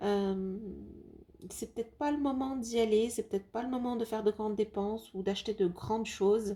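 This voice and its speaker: Fairly even intonation and a dark, mellow tone in a fairly high female voice. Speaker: tarot card reader. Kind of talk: tarot reading video. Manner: hesitant, many fillers.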